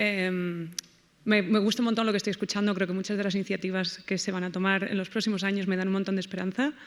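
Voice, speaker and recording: A woman's very fast, monotone, flat delivery at medium pitch, with a Spanish accent. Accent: Spanish (Spain). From Spain. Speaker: audience member, postdoctoral researcher. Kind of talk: audience question.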